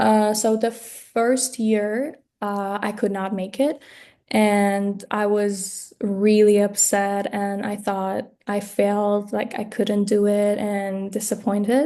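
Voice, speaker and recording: In a Persian accent, a woman speaks very slowly in a dark, mellow tone with monotone, flat intonation. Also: medium pitch for a woman. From Iran. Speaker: graduate student. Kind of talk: mock job interview. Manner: halting, many fillers.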